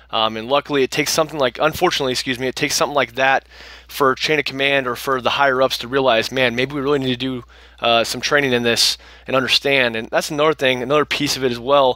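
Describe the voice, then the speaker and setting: A man talks at a very fast pace in a bright, sharp tone. His intonation is monotone and flat, and the sound is dry and close with no echo. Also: medium pitch for a man. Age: 20s. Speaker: soldier and mixed martial artist. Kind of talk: interview.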